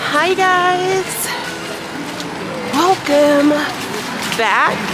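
A woman with an American accent, dry sound with no echo, and loud background noise. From United States. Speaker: lifestyle vlogger. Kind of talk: casual vlog talk to camera. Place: street. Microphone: phone near.

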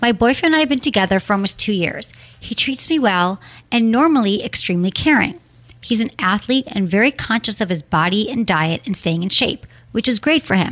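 An animated voice with lively intonation moves at a fairly quick pace over a quiet background. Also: woman, fairly high pitch for a woman. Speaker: sex and relationships podcast host; relationships podcast host. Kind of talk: casual interview chat. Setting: studio. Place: studio.

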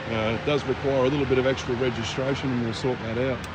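The speech moves at a moderate pace, with a dry sound free of echo and noticeable background noise. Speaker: car salesman. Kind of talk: sales walkaround commentary. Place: street. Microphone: phone near.

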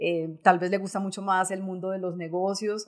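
A woman at medium pitch and moderate pace against a quiet background. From Colombia, Boyacá; Colombia. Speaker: bank executive; guest. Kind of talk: interview. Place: studio. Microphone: studio mic.

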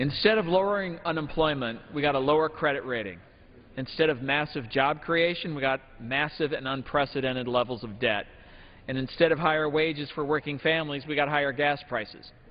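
Here a man talks at a fairly quick pace. His pitch variation is ordinary. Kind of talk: formal floor speech. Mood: firm, persuasive. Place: hall. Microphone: podium.

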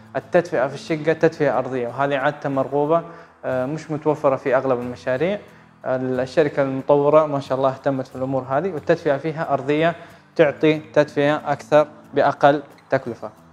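A man with monotone, flat intonation, faint music in the background. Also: moderate pace. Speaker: presenter. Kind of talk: property tour presentation. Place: empty room.

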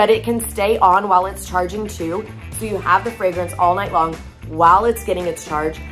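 Faint music plays in the background. A woman speaks over it at a moderate pace. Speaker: product seller. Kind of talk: product demo vlog chat. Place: home room. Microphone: phone near.

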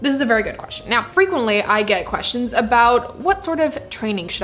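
The speaker is a woman. She talks very fast. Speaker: barista content creator. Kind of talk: casual Q&A vlog chat. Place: kitchen.

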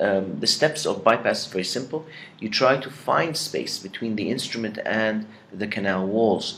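Light background noise sits behind a man speaking with an Arabic accent at a moderate pace and ordinary pitch variation. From Egypt. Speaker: dentistry professor; dentist lecturer. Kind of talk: lecture. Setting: pre-recorded lecture. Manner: halting with many fillers. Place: home room. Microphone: webcam.

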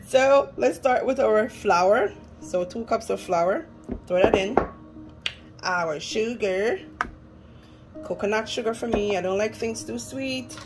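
A woman speaks at a very slow pace with long, frequent pauses. Clear music plays in the background. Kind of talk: casual cooking tutorial. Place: kitchen. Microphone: phone near.

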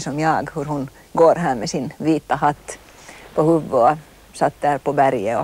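Very deep and low in pitch for a woman, her voice has ordinary pitch variation and a dry sound with no echo. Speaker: interviewee. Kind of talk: interview answer. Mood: reflective, nostalgic. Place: garden.

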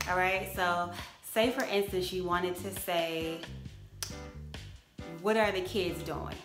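Clear music plays behind a woman with a fairly low pitch and fairly even intonation. She talks at a very slow pace, with long, frequent pauses. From Jamaica. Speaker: vlogger. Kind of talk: casual talk to camera. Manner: chatty, relaxed. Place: home room. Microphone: phone near.

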